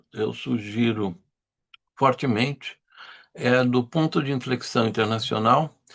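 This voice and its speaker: A man speaks at a very slow pace. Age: 70s. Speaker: journalist, lecturer. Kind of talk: lecture.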